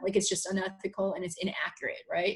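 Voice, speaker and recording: A woman speaks at a very fast pace, her voice somewhat breathy. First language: not English. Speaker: high school teacher. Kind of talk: podcast conversation. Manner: halting, many fillers and repetitions.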